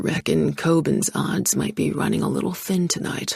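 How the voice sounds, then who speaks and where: Using a put-on character voice, a man speaks raspily at a moderate pace with very even loudness. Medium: read story. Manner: laconic, dry.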